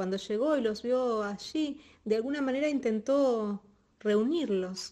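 With an animated, dramatic tone, a woman speaks fairly slowly at a fairly high pitch with ordinary pitch variation. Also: very even loudness. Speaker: storyteller. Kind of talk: illustrated storytelling narration of a folk tale, with dramatized dialogue. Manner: animated, expressive, changes tone for characters; paced storyteller rhythm with dramatic pauses and sound effects.

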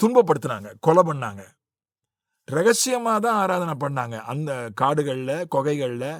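A man speaks with a fairly high pitch. His voice swings very widely in pitch. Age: 50s. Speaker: Bible teacher. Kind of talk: Bible study teaching.

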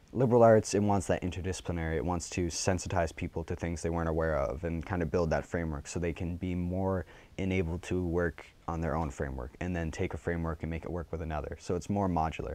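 A man's very deep, low voice at a very fast pace, fairly even in intonation, the sound dry with no echo. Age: young. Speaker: journalism student. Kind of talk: interview answer. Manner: passionate. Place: studio. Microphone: lapel.

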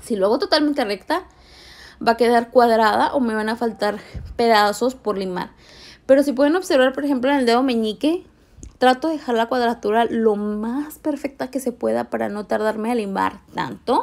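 Animated in tone, a woman talks at a moderate pace with a fairly high pitch and ordinary pitch variation. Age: 20s. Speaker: nail technician. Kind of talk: tutorial.

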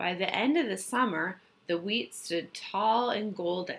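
Here the text gets plain reading aloud. Nothing more is done than that.

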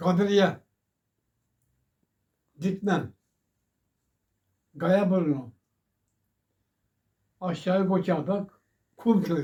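Very slow and broken by long, frequent pauses, the speech has a dark, mellow tone and ordinary pitch variation. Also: man, high pitch for a man. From Çakallık, Serik, Antalya, Turkey. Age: 80s+. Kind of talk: interview answer.

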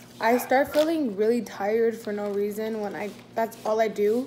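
A woman speaks at a moderate pace while light background noise can be heard. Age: 20s. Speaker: YouTuber; vlogger. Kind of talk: mukbang Q&A vlog; casual vlog chat. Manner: animated. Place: home room. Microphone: phone near.

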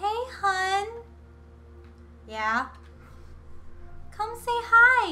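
A woman uses a put-on character voice, extremely high in pitch and raised and projected. Clear background noise runs behind her. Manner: nice, kind.

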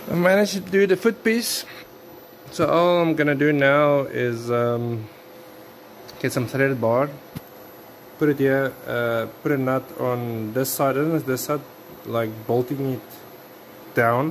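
With light background noise, a man at a medium pitch talks at a very slow pace, broken by long, frequent pauses. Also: ordinary pitch variation. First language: not English. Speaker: DIY builder and video maker. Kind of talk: tutorial. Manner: halting, with many fillers. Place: workshop. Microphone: phone near.

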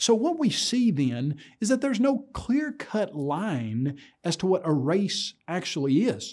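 Against a quiet background, a man speaks in a dark, mellow tone with very wide pitch swings. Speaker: presenter. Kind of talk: lecture. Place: studio.

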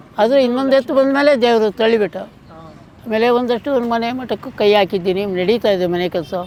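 The speaker is a man with an extremely high pitch. Background noise is noticeable. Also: ordinary pitch variation. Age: 80s+. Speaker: cattle farmer. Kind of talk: casual interview.

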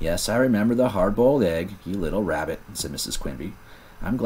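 A reading voice, unforced.

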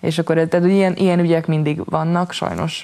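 A woman speaks at a fairly low pitch. Her intonation is monotone and flat against a quiet background. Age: 20s. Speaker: poet, writer, slam poet. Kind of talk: interview answer. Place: studio.

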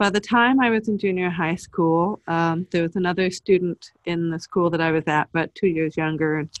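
In an ordinary speaking voice, a woman with a fairly low pitch and ordinary pitch variation talks at a moderate pace, the sound dry and close with no echo. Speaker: teacher of the deaf. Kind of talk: webinar presentation. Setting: webinar.

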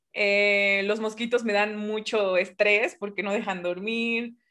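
A woman with a fairly high pitch speaks against a quiet background. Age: 20s. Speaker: physics grad student and science streamer; science streamer. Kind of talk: casual chat. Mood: cheerful, smiling. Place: home room. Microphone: webcam.

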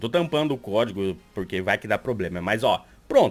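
Faint music plays behind a man who talks at a fairly quick pace, his pitch swinging very widely. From Brazil. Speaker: YouTuber and Twitch streamer; YouTuber, Twitch streamer. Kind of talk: tutorial. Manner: animated. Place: home room.

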